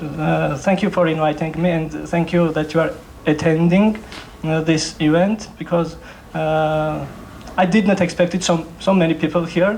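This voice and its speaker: In a room with audible echo and noticeable background noise, a man with a high voice speaks at a moderate pace with fairly even intonation and very even loudness. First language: Georgian. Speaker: novelist. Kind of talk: literary event talk. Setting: library stage with audience. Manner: halting.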